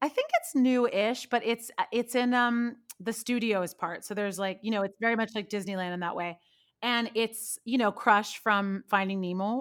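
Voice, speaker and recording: In a plain, everyday voice, a woman with an American accent speaks at a moderate pace, her fairly high pitch showing ordinary variation, on a very clean recording with a silent background. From Northern California. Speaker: podcast guest. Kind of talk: casual chat.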